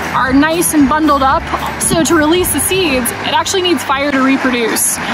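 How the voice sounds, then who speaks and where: Over music in the background, a woman speaks at a moderate pace in a dry recording with no echo. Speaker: park ranger guide. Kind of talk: educational nature explainer. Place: waterside. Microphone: phone near.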